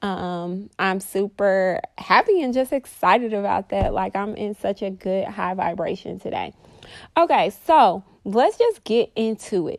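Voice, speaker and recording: The woman's tone is animated, at a medium pitch with ordinary pitch variation. She talks at a fairly slow pace. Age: 30s. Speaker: podcast host and mindset coach. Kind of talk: casual solo monologue.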